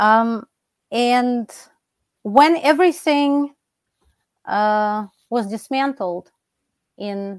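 Here a woman speaks with a Russian accent at a fairly high pitch. The sound is dry and close, with no echo. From Russia (Soviet Union). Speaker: philosophy professor. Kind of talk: interview.

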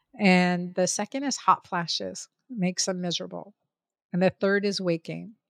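At a moderate pace, a woman speaks in a plain, everyday voice with medium pitch and ordinary pitch variation, in a dry, close sound with no echo on a very clean recording with a silent background. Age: 50s. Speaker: physician. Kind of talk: interview.

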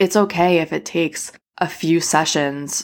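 A woman's voice with vocal fry and fairly even intonation on a very clean recording with a silent background. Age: 30s. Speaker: podcast host. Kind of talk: casual solo podcast talk. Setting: home living room. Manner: casual, filler-heavy.

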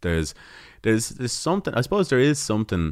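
This is a man speaking with a Dublin accent. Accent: Irish (Dublin). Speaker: folk musician. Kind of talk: casual interview. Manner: halting.

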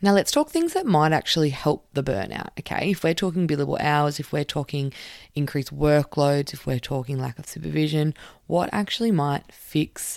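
A woman's very deep, low voice in an Australian accent, animated in tone, at a moderate pace with ordinary pitch variation, on a very clean recording with a silent background. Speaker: occupational therapist podcast host. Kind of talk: casual solo podcast talk.

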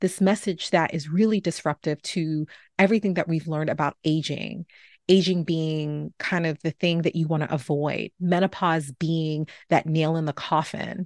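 Heard against a quiet background with a dry, close sound with no echo, a plain, everyday voice with an American accent moves at a moderate pace. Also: woman, fairly low pitch for a woman, fairly even intonation. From New York City (Bronx). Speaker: podcast host, physician. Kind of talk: podcast monologue.

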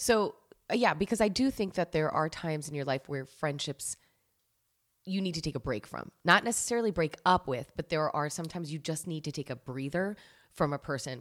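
Talking fairly quickly in an American accent, a woman with a very deep, low voice uses lively intonation in a very clean recording with a silent background. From New Jersey. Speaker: podcast host. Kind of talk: casual chat.

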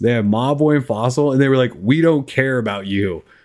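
A man with a Minnesotan accent, medium pitch and moderate pace. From US Midwest. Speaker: tech podcast host. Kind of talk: casual chat. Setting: live stream.

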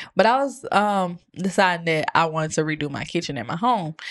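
Against a quiet background, a normal speaking voice moves at a moderate pace. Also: woman. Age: 20s. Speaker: churchgoer sharing testimony. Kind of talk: testimony.

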